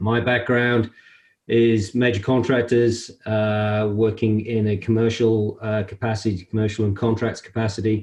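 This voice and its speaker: Speaking at a moderate pace and medium pitch, a man with a British accent keeps a monotone, flat intonation and very even loudness. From UK. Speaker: construction industry association CEO. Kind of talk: interview. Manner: hesitant, many fillers.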